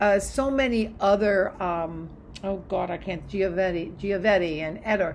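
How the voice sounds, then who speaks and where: At a fairly slow pace, a woman talks in a medium pitch with ordinary pitch variation, and audible room echo is present. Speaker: college history instructor. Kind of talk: recorded lecture to students. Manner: animated, enthusiastic.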